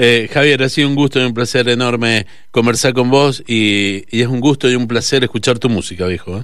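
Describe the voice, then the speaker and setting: At a fairly quick pace, a man of medium pitch speaks with fairly even intonation. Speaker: radio host. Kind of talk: radio interview. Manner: halting.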